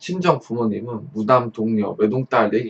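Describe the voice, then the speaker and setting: In an ordinary speaking voice, a man talks at medium pitch with ordinary pitch variation and a dry, close sound with no echo. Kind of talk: story reading.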